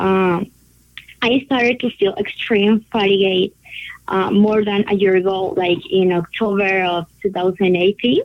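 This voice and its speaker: In a Spanish accent, a woman speaks at a fairly slow pace. Her medium pitch holds fairly even intonation. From Colombia. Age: 20s. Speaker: patient sharing her diagnosis story. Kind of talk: interview testimony. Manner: halting.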